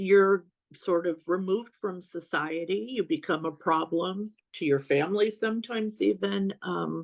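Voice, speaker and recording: A plain, everyday voice with lively intonation against a quiet background. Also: woman. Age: 60s. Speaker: author. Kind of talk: casual chat.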